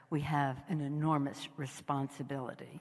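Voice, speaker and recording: Crowd noise fills the background as a woman talks at a moderate pace. Her very deep, low pitch keeps fairly even intonation. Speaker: politician, House party leader. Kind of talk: public speech at a gala. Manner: halting, stumbling, slurred at times.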